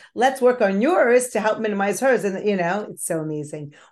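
A woman with a normal speaking voice. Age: 50s. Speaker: podcast host. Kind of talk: interview conversation.

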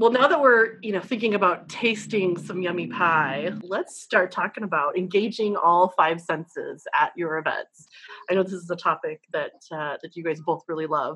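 Her medium-pitched voice is an ordinary speaking voice with ordinary pitch variation, and this woman speaks at a moderate pace. She talks with hardly any pauses and big swings in loudness. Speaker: co-host. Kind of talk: casual panel chat.

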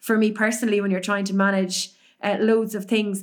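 A woman with a Cork accent speaks at a fairly high pitch. The recording is very clean, with a silent background. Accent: Irish (Cork). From Ireland, Cork. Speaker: race announcer and podcaster. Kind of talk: casual interview chat.

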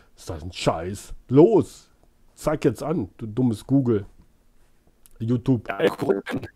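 Speaking very slowly with long, frequent pauses, a man with a dark, mellow, medium-pitched, somewhat breathy voice uses lively intonation and big swings in loudness. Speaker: YouTube streamer baiting phone scammers. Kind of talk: casual live stream chat. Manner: animated.

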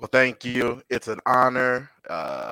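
A man with an American accent, dry and close with no echo. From Chicago. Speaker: football fan guest. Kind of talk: casual chat.

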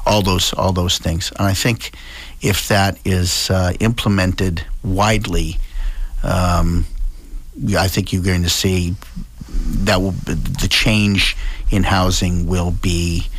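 A man with an American accent and a very deep, low pitch, very slow with long, frequent pauses, fairly even intonation and very even loudness, amid noticeable background noise. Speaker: state representative. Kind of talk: radio interview.

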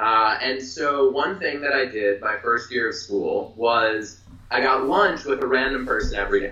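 A man's fairly high, plain, everyday voice with an American accent at a moderate pace. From Philadelphia. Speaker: mental health nonprofit founder. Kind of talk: interview.

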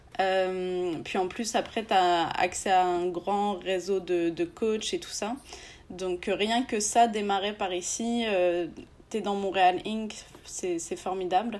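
A woman's medium-pitched voice moves very slowly with fairly even intonation. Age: 20s. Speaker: entrepreneur. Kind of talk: interview.

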